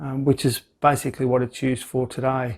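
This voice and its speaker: The voice moves at a moderate pace in a rural Australian accent. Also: man. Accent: rural Australian twang, noticeable. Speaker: life skills vlogger. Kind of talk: vlog monologue.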